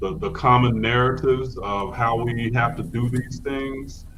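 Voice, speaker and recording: There is noticeable background noise and audible room echo. A man speaks at a medium pitch. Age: 50s. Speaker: spiritual teacher. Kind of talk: podcast interview. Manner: halting.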